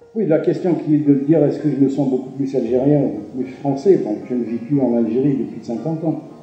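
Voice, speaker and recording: Speech runs at a fairly quick pace with hardly any pauses. Music plays in the background and room echo is audible. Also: man, fairly high pitch for a man, ordinary pitch variation. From Algeria. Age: 70s. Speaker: retired cultural center director, writer. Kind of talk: interview testimony. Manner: halting, frequent repetitions and hesitations.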